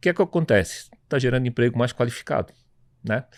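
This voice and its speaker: A man with an unremarkable speaking voice talks fairly quickly, his pitch varying normally, in a very clean recording with a silent background. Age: 60s. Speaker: tech entrepreneur. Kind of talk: panel discussion.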